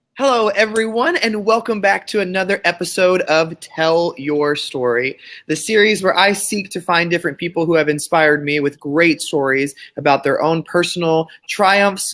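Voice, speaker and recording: A man talks at a moderate pace with a high pitch. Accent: American. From Texas. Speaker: podcast host. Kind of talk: interview.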